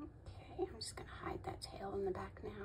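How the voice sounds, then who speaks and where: Moderate pace against noticeable background noise. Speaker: crochet tutorial maker. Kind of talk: tutorial.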